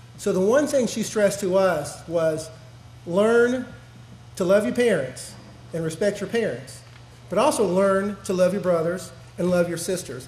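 The pace is moderate, broken by long, frequent pauses. Audible room echo surrounds the voice. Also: man. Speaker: speaker. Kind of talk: speech at an awards ceremony. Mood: warm, reflective. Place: hall. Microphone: podium.

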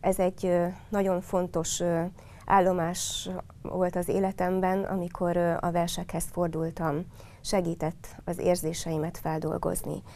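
At a very slow pace, a woman speaks in a monotone, flat intonation with a dark, mellow tone and fairly low pitch. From Hungary, Hódmezővásárhely; Hungary. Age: 50s. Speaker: local council candidate; council candidate. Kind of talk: campaign statement. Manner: earnest. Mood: earnest, personal, composed. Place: studio.

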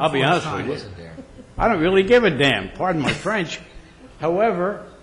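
In a Philadelphia accent, a high-pitched man speaks at a moderate pace, with audible room echo and noticeable background noise. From Pennsylvania, Philadelphia suburbs. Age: 80s+. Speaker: resident speaking at public comment. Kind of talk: public comment at meeting. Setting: township board meeting. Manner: animated.

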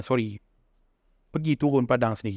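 The pace is moderate as a man speaks. The background is quiet and the sound is dry with no echo. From Malaysia. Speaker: founder of a local shoe brand; podcast guest. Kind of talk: casual chat. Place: home room. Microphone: studio mic.

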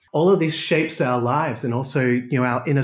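Here a man talks at a fairly quick pace with an Australian accent. His voice is somewhat breathy, on a very clean recording with a silent background. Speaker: exercise and pain specialist. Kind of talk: interview.

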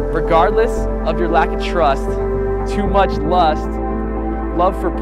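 A man's voice sounds dry, with no echo. Loud music plays behind him. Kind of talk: spoken word poetry performance. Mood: earnest, challenging religious message. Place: forest. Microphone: lapel.

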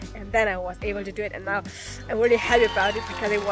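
Over clear music in the background, a woman speaks at a very fast pace in a dry sound with no echo. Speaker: travel vlogger. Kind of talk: casual vlog chat. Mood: excited, relieved after the dive. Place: forest. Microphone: phone near.

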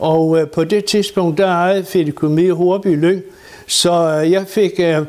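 Pitched high, a man speaks at a very slow pace with monotone, flat intonation and very even loudness. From Falster, Denmark. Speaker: retired gardener. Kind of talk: interview answer.

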